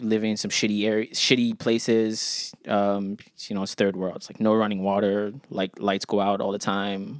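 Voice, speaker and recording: With a North American accent, a man speaks at a moderate pace and a fairly low pitch in a flat monotone, hardly pausing at all. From Ghana. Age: 30s. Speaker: rapper. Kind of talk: casual chat.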